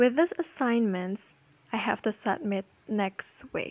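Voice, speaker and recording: A woman's fairly high voice with a non-native accent, dry and close, with no echo. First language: not English. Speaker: podcaster. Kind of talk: personal monologue. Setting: home recording.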